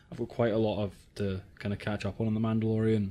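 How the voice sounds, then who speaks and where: Medium-pitched male speech, dark and mellow in tone, with a Scottish accent. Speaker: podcast co-host. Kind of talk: casual chat.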